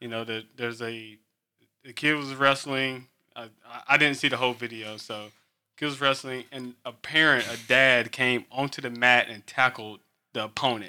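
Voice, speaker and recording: A man with an American accent speaks in a bright, sharp tone with monotone, flat intonation and big swings in loudness. The recording is very clean, with a silent background. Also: medium pitch for a man, moderate pace. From Eastern North Carolina. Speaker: podcast host and sports official. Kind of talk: casual interview.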